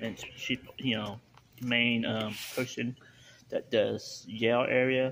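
Light background noise sits under speech with monotone, flat intonation. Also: man. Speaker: vlogger narrating his meal. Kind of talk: casual vlog chat. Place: cafe. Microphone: phone near.

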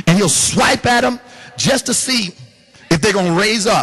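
A man talks with a high pitch and an animated tone. His intonation is lively. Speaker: pastor. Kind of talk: sermon. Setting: church with congregation. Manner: animated, call-and-response preaching with laughs and exhortation. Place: hall. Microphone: handheld.

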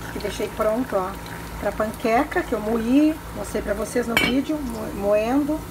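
There is noticeable background noise behind a woman's voice. Her pitch varies in an ordinary way. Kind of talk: casual cooking vlog narration. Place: kitchen. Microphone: phone near.

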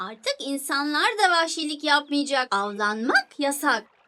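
A cartoonish character voice speaks at a high pitch and a fairly slow pace. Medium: puppet. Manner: sulky, teasing.

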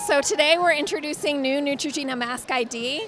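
Moderate pace, light background noise and a dry sound with no echo. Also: woman. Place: hall. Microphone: handheld.

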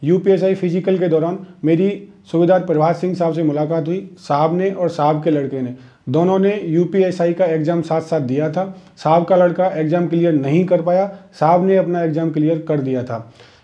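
A man talks at a high pitch and moderate pace with fairly even intonation against a quiet background. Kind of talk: talk to camera, advice. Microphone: lapel.

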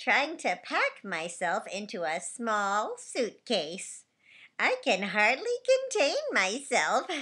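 In a put-on character voice, a woman talks at a very slow pace with a fairly high pitch and very wide pitch swings. The recording is very clean, with a silent background.

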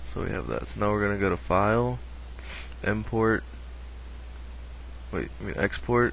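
Very deep and low, a man's voice carries vocal fry and very wide pitch swings, moving at a moderate pace with long, frequent pauses. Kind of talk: software tutorial narration. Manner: casual, unrehearsed.

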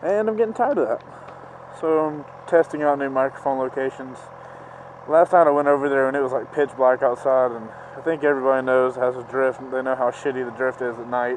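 Over light background noise, the voice comes at a fairly quick pace with ordinary pitch variation and a dry sound with no echo. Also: man. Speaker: motorcycle vlogger. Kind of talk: casual vlog chat. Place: motorbike. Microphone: helmet.

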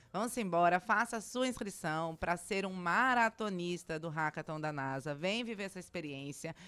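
A woman with a bright, sharp tone and fairly low pitch speaks with lively intonation. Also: moderate pace. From Brazil, Cuiabá, Mato Grosso; Mato Grosso, Brazil. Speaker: tech event organizer; interview guest. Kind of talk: radio interview. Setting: radio studio. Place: studio. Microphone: studio mic.

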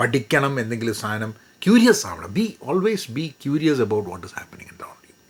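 A man speaks at a medium pitch. It is an unremarkable speaking voice. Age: 50s. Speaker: career coach. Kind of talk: educational talk. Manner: code-switching Malayalam and English.

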